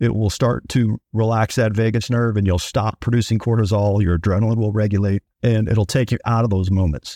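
Man at medium pitch and a fairly quick pace, dark, mellow tone, dry, close sound with no echo, very clean recording with a silent background. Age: 50s. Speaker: podcast co-host, army veteran. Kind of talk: casual chat.

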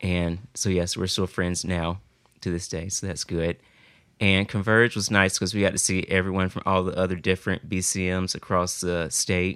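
A man speaks with a Southern US accent in a very deep, low voice, his intonation flat and monotone. He keeps a moderate pace, and the recording is very clean with a silent background. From US South, South Carolina. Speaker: college student. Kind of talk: casual chat.

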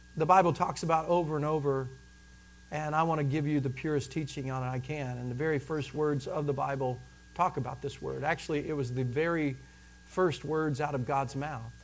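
The man's pitch sits fairly high, with ordinary variation at a moderate pace. There is audible room echo. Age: 40s. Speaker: pastor. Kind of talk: sermon.

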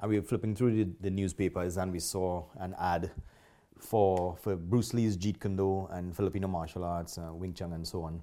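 A man with a Trinidadian accent, a very deep, low pitch and a dark, mellow tone, speaking at a moderate pace with fairly even intonation on a very clean recording with a silent background. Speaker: martial arts school owner. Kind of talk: interview.

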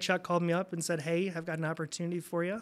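Speaking very fast with a Midwestern American accent, a man has a high-pitched, bright, sharp tone. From Indiana, Fort Wayne. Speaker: credit union CEO. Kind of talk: casual interview. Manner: hesitant, many fillers.

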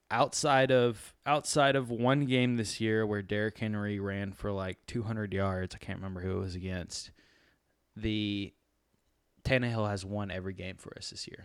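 Recorded very cleanly with a silent background, a man speaks at a fairly low pitch with ordinary pitch variation and big swings in loudness. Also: moderate pace. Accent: American. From Tennessee. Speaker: sports podcast co-host. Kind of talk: casual chat. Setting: at a football game, midfield seats.

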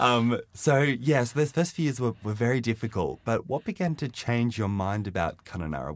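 In a very clean recording with a silent background, a man has a plain, everyday voice. He talks at a fairly quick pace with lively intonation and hardly any pauses. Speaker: podcast host. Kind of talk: interview.

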